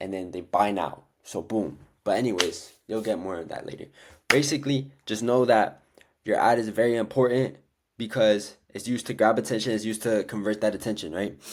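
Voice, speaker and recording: A man's plain, everyday voice at a medium pitch, with ordinary pitch variation and a fairly quick pace, on a very clean recording with a silent background. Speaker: dropshipping coach. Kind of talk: tutorial. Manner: casual, filler-heavy.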